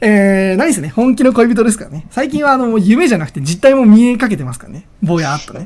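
Here a man speaks in a high pitch at a fairly quick pace. His tone is animated, with very wide pitch swings. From Oita, Japan. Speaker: podcast host. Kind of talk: casual solo talk.

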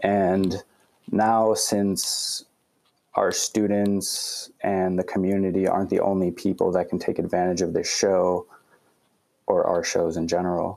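A man talks at a fairly slow pace. His loudness stays very even. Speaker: student concert promoter. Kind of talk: casual interview.

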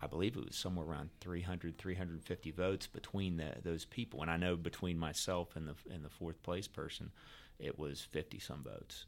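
The speaker has an American accent and talks at a fairly quick pace. The intonation stays fairly even. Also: man, very deep, low pitch for a man. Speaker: state legislator and attorney. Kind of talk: casual interview.

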